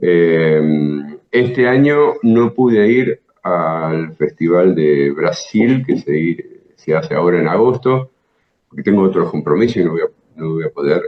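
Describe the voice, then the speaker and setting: With a Rioplatense accent, a man talks at a fairly slow pace in a fairly low pitch that makes very wide swings. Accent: Argentine Rioplatense Spanish. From Buenos Aires province, Argentina. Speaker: jazz guitarist and teacher. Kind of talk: interview answer.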